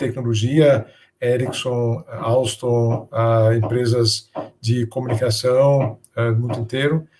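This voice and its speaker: A man with a Danish accent speaks very slowly at a medium pitch, his dark, mellow tone somewhat breathy and his intonation fairly even. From Denmark. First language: Danish (speaking Portuguese). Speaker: business innovation speaker. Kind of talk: interview. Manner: halting, with many fillers.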